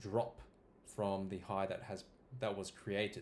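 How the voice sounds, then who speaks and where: A man speaks in a normal speaking voice. His pitch is fairly low and his pace moderate. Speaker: crypto market analyst. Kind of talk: chart analysis tutorial.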